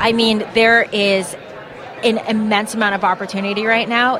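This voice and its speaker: A woman speaks at a moderate pace in a medium pitch, her intonation flat and monotone. Noticeable background noise runs underneath. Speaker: investment group representative. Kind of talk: interview. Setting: conference floor.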